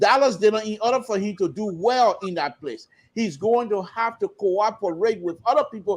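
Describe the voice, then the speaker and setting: A high-pitched man at a moderate pace on a very clean recording with a silent background. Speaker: political panelist. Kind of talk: heated debate.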